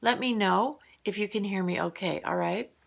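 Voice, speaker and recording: Soft-spoken, a woman talks at a moderate pace in a calm tone that is also bright and sharp. The recording is very clean, with a silent background. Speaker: morning vlogger. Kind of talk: casual monologue.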